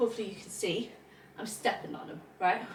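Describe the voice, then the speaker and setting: A woman speaks in a British accent. Her intonation is lively. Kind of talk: casual talk to camera.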